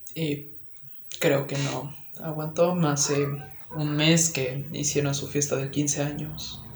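Over noticeable background noise and audible room echo, a man talks at a very slow pace with long, frequent pauses. His fairly high voice stays monotone and flat. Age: young. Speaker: podcast co-host and student. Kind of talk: casual chat.

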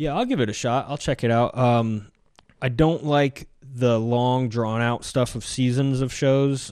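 A man's normal speaking voice, medium-pitched, at a fairly slow pace with fairly even intonation and a quiet background. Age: 40s. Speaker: podcast host. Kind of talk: casual chat.

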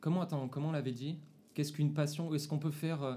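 Talking very fast, a man with a fairly high pitch has a dark, mellow tone, a somewhat breathy quality and ordinary pitch variation. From Paris region (Seine-Saint-Denis). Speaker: podcast host. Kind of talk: casual chat. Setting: at a table with friends.

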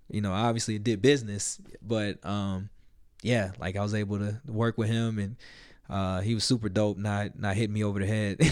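With an American accent, a man uses a normal speaking voice, a fairly low pitch and fairly even intonation at a moderate pace. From US South, Little Rock, Arkansas. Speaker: hip-hop artist and producer. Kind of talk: casual interview.

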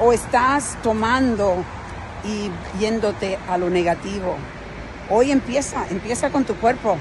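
Over noticeable background noise, a woman speaks at a very slow pace with a fairly high pitch and ordinary pitch variation. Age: 50s. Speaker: motivational speaker. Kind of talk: motivational monologue.

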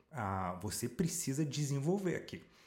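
At a moderate pace, a man speaks at a medium pitch in a dark, mellow tone that is somewhat breathy. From France (Paris), Brazilian mother. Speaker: life coach and speaker. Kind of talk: casual interview chat.

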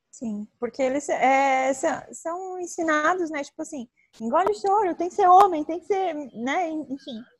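Delivered at a fairly slow pace, the speech has lively intonation. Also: woman, high pitch for a woman. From southern Brazil (Tubarão, Santa Catarina). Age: 20s. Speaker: travel influencer and photographer. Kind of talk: casual interview.

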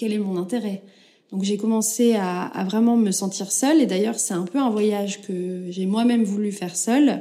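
A woman with a medium pitch and a dark, mellow tone sounds somewhat breathy, speaking at a moderate pace with ordinary pitch variation. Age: 30s. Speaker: podcast host. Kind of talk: personal testimony. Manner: halting, many fillers.

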